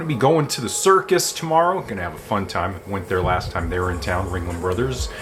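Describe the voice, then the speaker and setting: Music plays behind a man, and the room echo is audible. He talks at a fairly quick pace with very wide pitch swings. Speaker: vlogger. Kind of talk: casual talk to camera. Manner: uses many filler words.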